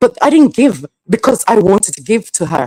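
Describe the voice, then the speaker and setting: This woman speaks at a fairly high pitch with vocal fry and very wide pitch swings, moving at a fairly quick pace. The sound is dry and close, with no echo. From Jamaica. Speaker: live streamer. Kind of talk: casual livestream monologue. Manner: halting, with false starts.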